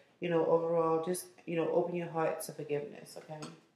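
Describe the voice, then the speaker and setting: In a room with audible echo, a woman speaks with a very deep, low pitch. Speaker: card reader. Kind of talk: casual reading commentary to viewers. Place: kitchen. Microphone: phone near.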